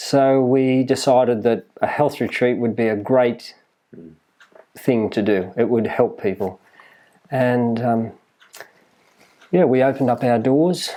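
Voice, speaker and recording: Fairly slowly and with long, frequent pauses, a man speaks with fairly even intonation and very even loudness. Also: medium pitch for a man. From Australia, New South Wales (Maitland). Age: 60s. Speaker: health retreat owner. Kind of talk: interview. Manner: halting.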